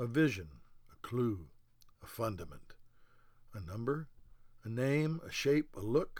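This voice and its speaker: A man speaks at a very slow pace. His pitch is medium. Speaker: poet. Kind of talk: poetry reading aloud, rhymed couplets in measured spoken-word cadence. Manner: formal, deliberate and earnest, with rhythmic rhyme-driven phrasing.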